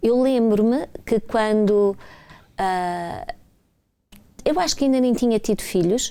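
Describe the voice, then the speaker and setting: Speaking very slowly with long, frequent pauses, a woman with a European Portuguese accent uses a fairly high, dark and mellow voice, lively intonation and very even loudness. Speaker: breastfeeding support pioneer. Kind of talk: panel debate.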